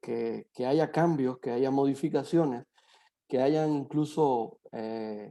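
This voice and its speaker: A man's fairly high-pitched voice, dark and mellow in tone with ordinary pitch variation, over a quiet background. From Cuba. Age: 30s. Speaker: psychologist. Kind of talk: online talk to students. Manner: hesitant, many fillers.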